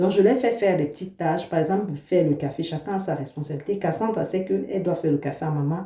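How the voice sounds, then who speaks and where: A woman speaks at a fairly quick pace in a fairly low pitch with ordinary pitch variation. There is noticeable background noise. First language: an African language, not French (speaking French). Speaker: vlogger, mother. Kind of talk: casual vlog talk to camera.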